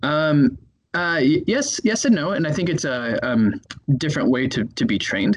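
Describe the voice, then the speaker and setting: A man with an American accent talks at a moderate pace, his fairly high pitch showing very wide pitch swings and vocal fry. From US Midwest, Chicago. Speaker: neuroscientist and medical student. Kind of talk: interview. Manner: hesitant, many fillers.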